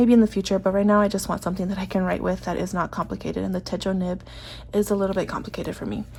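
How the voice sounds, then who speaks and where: Very fast and somewhat breathy, a woman's voice runs on. It stays in a flat monotone. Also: medium pitch for a woman. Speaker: planner and stationery vlogger. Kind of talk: casual chat. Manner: hesitant, many fillers.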